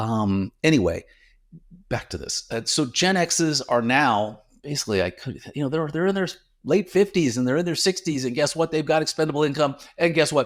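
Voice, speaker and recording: On a very clean recording with a silent background, a man with an ordinary speaking voice and fairly high pitch talks at a moderate pace with lively intonation. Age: 60s. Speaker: wine news podcast host. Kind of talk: casual news commentary. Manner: conversational, with fillers.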